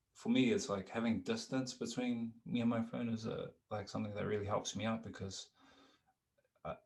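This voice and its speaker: A soft-spoken man with a medium pitch sounds somewhat breathy and keeps a moderate pace. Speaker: musician and podcast host. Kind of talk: casual chat. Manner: hesitant, many fillers.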